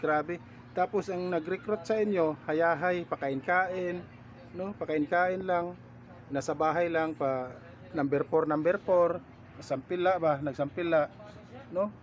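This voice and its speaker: Speaking at a fairly slow pace, a man keeps his high pitch in fairly even intonation. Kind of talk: angry rant, a scornful tirade mocking rally-goers. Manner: scolding, insulting and repetitive, hammering the same jeers; loud and fiery, sarcastic and contemptuous.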